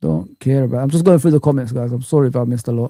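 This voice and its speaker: The voice has a dark, mellow tone, heard on a very clean recording against a silent background. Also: man. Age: 40s. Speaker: YouTube football streamer. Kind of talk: live stream chat.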